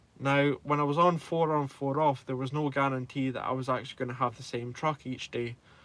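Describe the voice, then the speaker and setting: With a Scottish accent, a man talks at a fairly quick pace with hardly any pauses, in a fairly high, monotone and flat delivery. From Scotland. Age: 20s. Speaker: truck driver, YouTuber. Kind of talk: live stream chat with viewers. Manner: hesitant, lots of ums.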